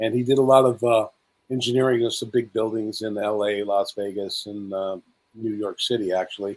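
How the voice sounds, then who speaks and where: Monotone, flat intonation runs through speech delivered at a fairly quick pace. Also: man, fairly low pitch for a man. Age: 60s. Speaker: spiritual speaker and conference host. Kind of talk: interview.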